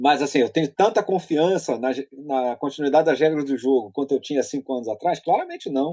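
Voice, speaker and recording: A man's fairly high-pitched voice with a dark, mellow tone and ordinary pitch variation, fairly quick in pace, in a dry, close sound with no echo. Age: 40s. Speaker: political columnist. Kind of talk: casual interview chat.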